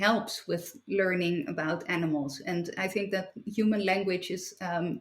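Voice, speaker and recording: A woman with a Dutch accent talks at a fairly slow pace with hardly any pauses. Her medium pitch shows ordinary pitch variation. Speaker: philosopher and writer. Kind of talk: interview conversation. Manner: halting.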